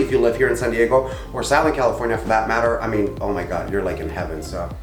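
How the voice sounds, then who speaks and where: A man with a Spanish accent speaks at a very fast pace. Audible room echo and noticeable background noise surround him. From Mexico, Tijuana. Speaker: co-host of a Q&A channel. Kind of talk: casual Q&A chat.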